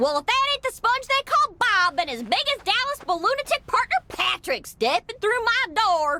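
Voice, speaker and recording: A female-sounding, put-on character voice sits at an extremely high pitch. It runs at a moderate pace with hardly any pauses. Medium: video game. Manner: folksy, boastful.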